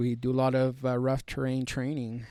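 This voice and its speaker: A man with a Spanish accent speaks at a medium pitch. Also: very clean recording, silent background. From US, Mexican-American family. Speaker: army combat medic. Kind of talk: podcast interview. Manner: halting, many fillers and restarts.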